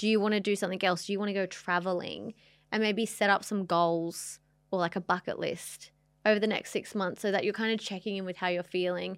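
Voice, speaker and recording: At a fairly quick pace, a woman speaks in a medium pitch with monotone, flat intonation, in a very clean recording with a silent background. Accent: Australian. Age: 20s. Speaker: podcast co-host. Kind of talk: casual chat.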